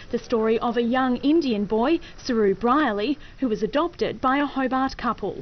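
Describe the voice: A woman talks at a moderate pace with ordinary pitch variation.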